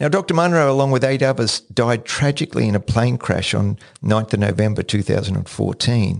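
This is a normal speaking voice from a man at medium pitch. He has lively intonation and very even loudness, with hardly any pauses. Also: fairly quick pace. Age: 60s. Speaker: podcast host. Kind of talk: solo podcast monologue. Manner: repeats words when starting sentences.

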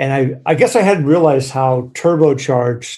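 This male voice has a medium pitch, a dark, mellow tone, and a somewhat breathy quality. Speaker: podcast co-host. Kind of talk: casual interview. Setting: remote call.

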